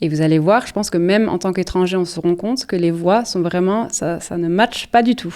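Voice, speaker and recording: Speaking at a fairly quick pace with hardly any pauses, a woman uses a medium pitch and a dark, mellow tone. Her pitch variation is ordinary. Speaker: podcast co-host. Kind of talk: casual chat. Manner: hesitant, many fillers.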